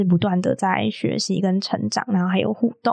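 Her voice is a normal speaking voice, medium in pitch with ordinary pitch variation, and the woman talks at a fairly quick pace. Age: 20s. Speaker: podcast host. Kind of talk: casual chat.

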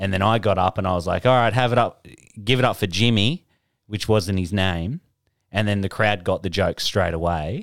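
This man has an Australian accent and a fairly low pitch with ordinary variation. He speaks at a moderate pace in a very clean recording with a silent background. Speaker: podcast co-host and comedian. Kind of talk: casual banter.

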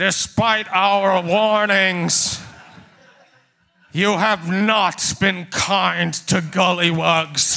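A man's put-on character voice, high for a man, raised and projected, at a very slow pace. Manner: commanding.

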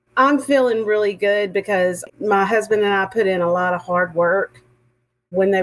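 A woman with a Texan accent speaks with ordinary pitch variation. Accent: Texan Southern. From Texas. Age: 50s. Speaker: retired teacher and author. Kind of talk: casual interview conversation.

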